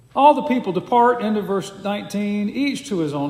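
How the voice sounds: Natural reading voice is what this clip carries.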